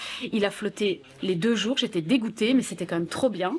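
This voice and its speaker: Against noticeable background noise, a woman with a strong Belgian accent talks at a fairly quick pace and medium pitch, her pitch varying in an ordinary way. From Belgium. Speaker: radio host. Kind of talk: interview. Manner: casual, hesitant fillers.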